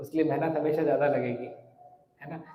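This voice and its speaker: A man is speaking. Room echo is audible. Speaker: monk and spiritual teacher. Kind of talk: religious lecture. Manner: clear articulation; conversational.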